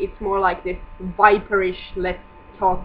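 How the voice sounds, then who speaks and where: Over noticeable background noise, a woman mumbles with a non-native accent. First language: not English. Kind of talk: casual vlog talk to camera. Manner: mumbling.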